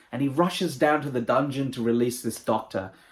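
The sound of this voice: A man's medium-pitched voice with a slightly husky edge and ordinary pitch variation. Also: moderate pace.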